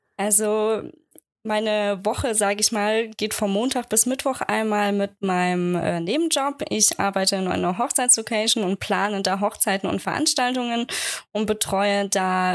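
A woman with an ordinary speaking voice, medium pitch, very even loudness and a moderate pace. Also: very clean recording, silent background. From Germany, Aschaffenburg (Lower Franconia). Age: 20s. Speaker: wedding photographer. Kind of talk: interview, casual chat.

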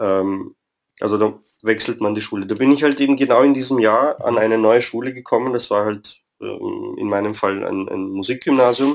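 A man's medium-pitched voice with fairly even intonation, a plain, everyday voice. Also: moderate pace. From Vienna, Austria. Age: 30s. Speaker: football fan club member. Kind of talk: interview.

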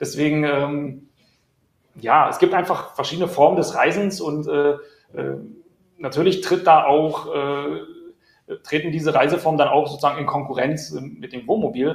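A man with a fairly high voice speaks at a fairly slow pace, his pitch varying in an ordinary way, with long and frequent pauses. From Berlin. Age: 30s. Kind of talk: live-stream interview.

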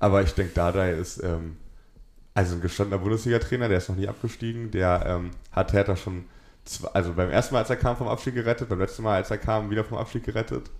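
Talking at a very fast pace, a man holds a fairly low pitch with fairly even intonation. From Berlin. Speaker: journalist. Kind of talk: casual chat.

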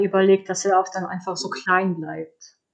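A woman at a moderate pace. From Poland. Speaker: children's book author. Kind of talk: interview.

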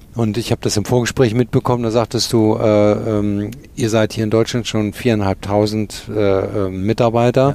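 A man with a dark, mellow tone and a fairly low pitch talks at a moderate pace in a monotone, flat intonation, with hardly any pauses and very even loudness. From Germany, Cologne. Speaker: podcast host. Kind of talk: interview; scripted narration. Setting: company headquarters office.

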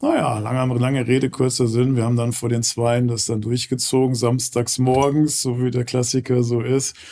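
With hardly any pauses, a man delivers his words in a flat monotone, his dark, mellow tone held at very even loudness. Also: medium pitch for a man, moderate pace. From Ruhr area, Gelsenkirchen. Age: 50s. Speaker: real estate company founder. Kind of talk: interview.

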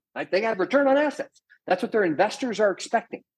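A man is speaking. His voice is loud. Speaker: professor of entrepreneurship. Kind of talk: interview conversation. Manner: animated, loud.

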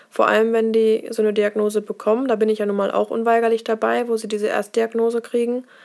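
A woman with a fairly high pitch uses an ordinary speaking voice at a moderate pace. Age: 20s. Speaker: nurse. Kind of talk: casual interview. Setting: office.

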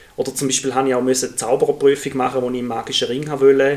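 Over noticeable background noise, a man with a fairly high pitch talks at a very fast pace. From Switzerland, Thurgau. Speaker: primary school teacher, podcast co-host. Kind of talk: casual chat.

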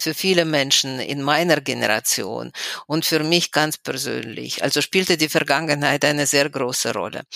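In a Russian accent, a woman speaks with a very deep, low pitch, vocal fry and a bright, sharp tone. Her pace is moderate and her pitch varies in an ordinary way. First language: Russian (speaking German). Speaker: historian and human rights activist. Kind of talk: interview. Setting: remote call from home.

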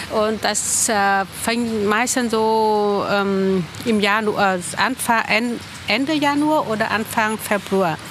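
Over noticeable background noise, a woman with a fairly high pitch speaks at a very slow pace, her loudness very even and her pitch variation ordinary. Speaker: member of a Vietnamese Buddhist community. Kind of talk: interview. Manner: halting.

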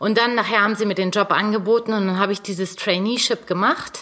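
A woman talks in a plain, everyday voice at a medium pitch. Her pace is moderate, with ordinary pitch variation. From northern Germany, North Sea coast. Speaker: fashion designer, former copywriter. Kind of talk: interview.

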